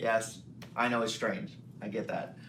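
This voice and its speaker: A man speaks at a moderate pace. The recording has noticeable background noise and audible room echo. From Louisiana, Cajun country (New Iberia). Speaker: magician and comedian. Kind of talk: interview. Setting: hotel interview, filmed.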